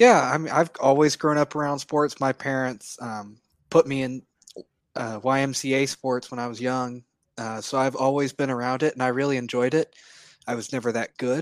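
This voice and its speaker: Heard in a dry, close sound with no echo, a man with an unremarkable speaking voice talks at a medium pitch with fairly even intonation. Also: moderate pace. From Oklahoma. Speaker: sports fan, graduate student. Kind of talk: casual interview. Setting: video call.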